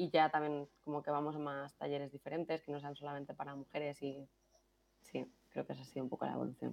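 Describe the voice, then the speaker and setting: In a very fast, monotone delivery with flat intonation, a woman speaks at a very deep, low pitch. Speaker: product manager. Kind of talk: podcast interview.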